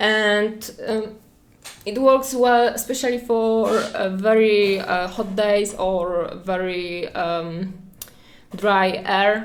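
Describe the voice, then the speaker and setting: Audible room echo surrounds a woman with a Polish accent who speaks at a medium pitch with fairly even intonation. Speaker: art streamer. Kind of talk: painting livestream tutorial. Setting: livestream at home. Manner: hesitant, many fillers.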